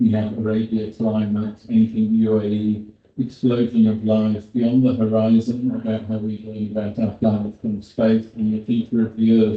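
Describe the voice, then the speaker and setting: With a British accent, the speaker goes at a moderate pace in a monotone, flat delivery with hardly any pauses. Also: man, fairly low pitch for a man. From Britain. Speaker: paleontologist. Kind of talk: conference presentation.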